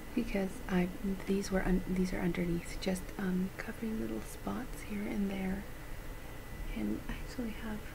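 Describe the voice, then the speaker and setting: Soft-spoken and relaxed in tone, a woman talks at a moderate pace against noticeable background noise. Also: ordinary pitch variation. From Canada. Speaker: beauty vlogger. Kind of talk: ASMR beauty haul, casual chatty talk to camera; soft-spoken casual vlog chat. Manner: soft-spoken, chatty, relaxed. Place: home room.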